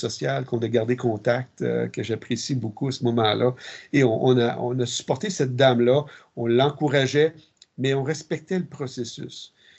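A man's somewhat breathy, medium-pitched voice at a moderate pace. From Quebec, Ormstown south shore of Montreal. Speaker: military chaplain. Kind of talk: interview. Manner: halting.

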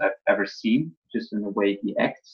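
A man speaks with a German accent at a fairly low pitch. His intonation is flat and monotone. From Germany. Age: 20s. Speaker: college drop-out content creator. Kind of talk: casual interview.

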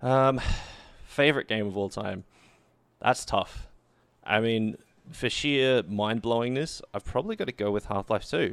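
On a very clean recording with a silent background, a man speaks with an Australian accent at medium pitch. His pace is fairly slow, with long, frequent pauses and ordinary pitch variation. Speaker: esports caster and producer. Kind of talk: casual interview.

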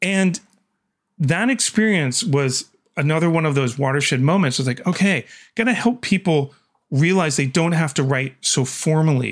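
A man with an ordinary speaking voice and a fairly high pitch talks at a moderate pace with lively intonation and very even loudness, on a very clean recording with a silent background. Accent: Canadian. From Canada. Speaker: communications manager and writer. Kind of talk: interview.

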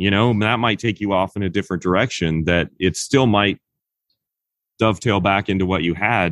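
This man has a plain, everyday voice and an American accent. His pitch is fairly low, and he talks at a fairly quick pace. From Kansas, US. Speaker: screenwriter and horror novelist. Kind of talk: interview.

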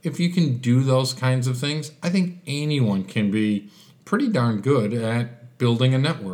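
Here a man talks with an American accent at a medium pitch. He goes at a fairly slow pace with lively intonation. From Chicago, US. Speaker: business networker, guest. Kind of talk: casual interview.

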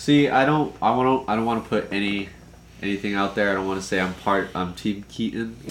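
A man's ordinary speaking voice, fairly low in pitch, at a fairly quick pace with ordinary pitch variation. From Southern California, Anaheim area. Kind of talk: casual chat.

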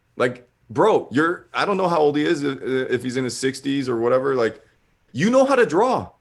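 With an animated tone and lively intonation, a man speaks at a moderate pace and a fairly high pitch. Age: 40s. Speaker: comic artist. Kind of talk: interview.

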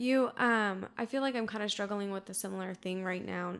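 A woman speaks at a fairly quick pace and medium pitch with ordinary pitch variation, her tone fairly bright, clear and smooth, on a very clean recording with a silent background.

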